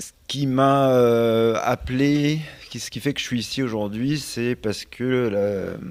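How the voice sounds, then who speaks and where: Speaking at a very slow pace, the man has a medium pitch and fairly even intonation, with big swings in loudness. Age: 50s. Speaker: entrepreneur. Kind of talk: panel discussion. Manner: halting.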